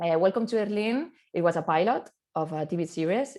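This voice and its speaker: A woman's fairly quick speech comes through over a quiet background. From Catalonia, Barcelona. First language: Catalan or Spanish. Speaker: actress. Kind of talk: round table discussion. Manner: halting, many fillers and repetitions.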